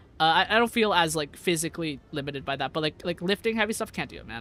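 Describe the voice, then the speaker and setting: This man talks at a very fast pace in a raised, projected voice. His tone is bright and sharp, with very wide pitch swings. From US, Vietnamese-American family. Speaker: VTuber streamer. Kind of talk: casual live stream chat. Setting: live stream. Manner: many fillers and repetitions.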